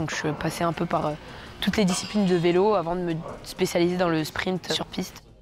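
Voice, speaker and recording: Over music in the background, a woman with a fairly low voice speaks quickly in a flat monotone. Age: 20s. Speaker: track cyclist. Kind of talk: interview. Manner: hesitant, many fillers.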